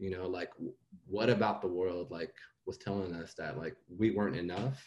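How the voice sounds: A man talks at a moderate pace. His voice has a slightly husky edge.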